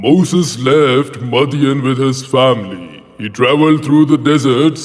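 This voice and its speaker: The man talks at a fairly slow pace. His pitch is medium, with ordinary variation. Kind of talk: religious storytelling. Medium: read story. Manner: measured, reverent.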